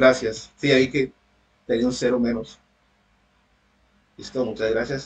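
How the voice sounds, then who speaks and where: The speech comes at a fairly slow pace, monotone and flat, with long, frequent pauses. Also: man, medium pitch for a man. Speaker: university tutor. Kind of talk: online lecture.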